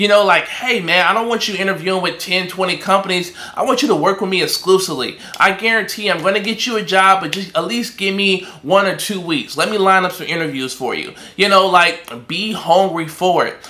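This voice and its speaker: Projecting his voice in an animated tone, a man with a high pitch and ordinary pitch variation speaks at a fairly quick pace, with audible room echo and noticeable background noise. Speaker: recruiter and online business coach. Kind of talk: tutorial. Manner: fast.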